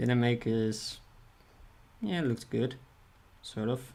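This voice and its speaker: With a non-native accent, a man of medium pitch speaks at a fairly slow pace and with fairly even intonation. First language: not English. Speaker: streamer and artist. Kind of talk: casual livestream chat while drawing. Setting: livestream. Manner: mumbling, soft articulation; halting, repeats words.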